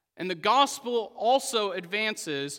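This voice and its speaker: A raised, projected voice with an American accent and a bright, sharp tone swings very widely in pitch at a very slow pace. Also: man. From Oklahoma. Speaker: pastor. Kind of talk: sermon.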